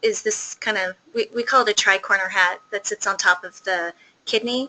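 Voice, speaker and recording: A woman's bright, sharp tone comes through a dry, close sound with no echo. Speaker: pediatric endocrinologist. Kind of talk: lecture. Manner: fast; soft-spoken.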